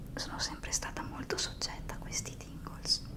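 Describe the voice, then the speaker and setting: Whispering, a woman can be made out through noticeable background noise. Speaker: ASMR content creator. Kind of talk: ASMR whispering talk to camera. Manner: whispered, soft-spoken.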